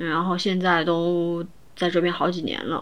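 A woman with a normal speaking voice. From Chongqing, China. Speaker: podcast co-host. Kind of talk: casual chat.

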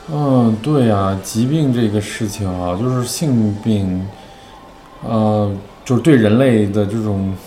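With audible room echo and noticeable background noise, a man speaks at a very slow pace with a fairly low pitch and ordinary pitch variation. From northern China. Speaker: LGBT health charity worker. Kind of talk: casual interview.

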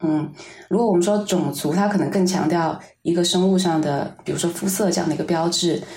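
A woman talks at a fairly quick pace with fairly low pitch and a dark, mellow tone. Her intonation stays fairly even, and room echo is audible. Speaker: artist. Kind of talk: interview conversation.

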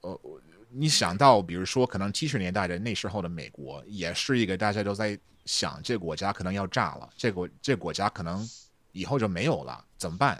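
A man with an English accent talks at a fairly quick pace and a fairly low pitch, with lively intonation. The recording is very clean, with a silent background. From Texas. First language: English (speaking Chinese). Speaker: podcast editor and translator. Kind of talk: casual chat.

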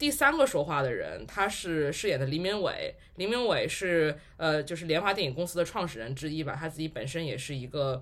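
High pitch marks this man's voice. He speaks at a fairly quick pace. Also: lively intonation. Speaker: podcast host. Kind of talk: casual chat.

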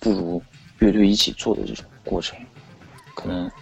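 Music in the background behind a man's fairly low voice at a moderate pace. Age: 30s. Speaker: experimental electronic musician. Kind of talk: casual chat. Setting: online call.

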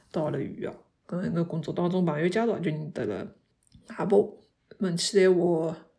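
A woman with a dark, mellow tone speaks in a fairly low pitch with ordinary pitch variation. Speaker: podcast host. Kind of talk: casual monologue. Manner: halting.

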